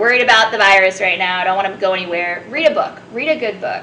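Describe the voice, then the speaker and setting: A woman's medium-pitched voice, with ordinary pitch variation, carries audible room echo and noticeable background noise. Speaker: youth apprenticeship coordinator. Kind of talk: interview. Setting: live recording at a community college in Asheville. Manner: loud; direct.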